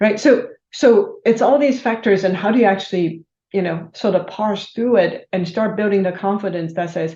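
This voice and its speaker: A woman speaks at a medium pitch with a dark, mellow tone. Her voice is somewhat breathy, with ordinary pitch variation. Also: moderate pace. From Taiwan. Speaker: business executive. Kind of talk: interview.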